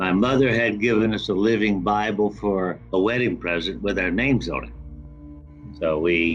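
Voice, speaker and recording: Music plays behind a man speaking with an American accent. His pitch is fairly low and his intonation lively. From Florida. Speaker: author and real estate developer; Vietnam war veteran. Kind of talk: interview answer. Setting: online call.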